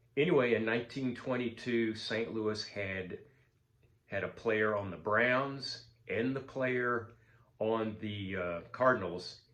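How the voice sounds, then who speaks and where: A man speaks very slowly at a fairly low pitch, with ordinary pitch variation. The room echo is audible. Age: 70s. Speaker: sports card collector. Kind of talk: casual vlog monologue. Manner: halting, many fillers.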